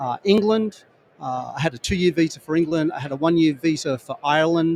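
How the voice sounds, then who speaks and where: Here a man speaks with an Australian accent. His pitch is fairly high, with ordinary pitch variation. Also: dry, close sound with no echo. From Australia, rural New South Wales. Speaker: construction industry executive. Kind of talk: podcast interview at trade show. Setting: trade show booth.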